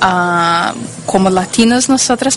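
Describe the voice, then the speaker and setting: A woman with a Portuguese accent at a medium pitch with ordinary pitch variation, amid audible room echo and noticeable background noise. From Brazil. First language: Portuguese (speaking Spanish). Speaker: interview guest. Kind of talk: interview. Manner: halting, hesitant.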